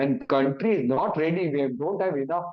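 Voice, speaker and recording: In an Indian accent, a man talks at a moderate pace with a fairly high voice. His intonation is lively. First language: Hindi. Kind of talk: awareness talk. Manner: halting.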